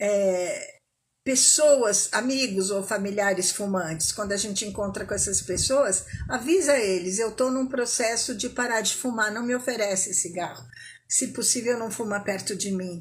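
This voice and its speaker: A woman with a plain, everyday voice, fairly high in pitch, with ordinary pitch variation and a fairly slow pace. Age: 60s. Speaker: smoking cessation coach. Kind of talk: live talk to online audience. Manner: conversational, informal.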